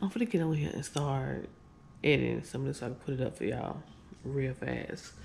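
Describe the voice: With vocal fry and a slightly mellow tone, a woman speaks at a fairly quick pace in an extremely low pitch, her intonation lively.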